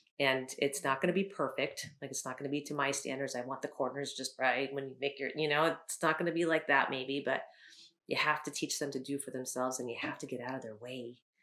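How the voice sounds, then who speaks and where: A woman speaks at a very fast pace with a bright, sharp tone and a very deep, low pitch. Her intonation is fairly even, and the recording is very clean with a silent background. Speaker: teacher of the visually impaired. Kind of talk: interview.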